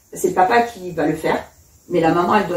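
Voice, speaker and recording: Amid noticeable background noise, a woman with a fairly low pitch talks at a fairly quick pace with ordinary pitch variation. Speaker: hypnobirthing practitioner. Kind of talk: casual interview. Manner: fast.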